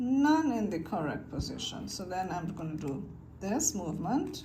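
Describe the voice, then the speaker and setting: A woman's medium-pitched voice with vocal fry and a dark, mellow tone, plus audible room echo. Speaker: video creator teaching cube solving. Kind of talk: tutorial. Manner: casual, halting with fillers.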